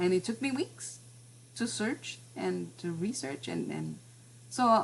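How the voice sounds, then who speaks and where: Speaking with a Spanish accent, a woman with a fairly low pitch sounds somewhat breathy at a fairly slow pace. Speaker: class teacher and professional translator. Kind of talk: online class presentation. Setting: video call, at home. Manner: halting, many fillers and repetitions.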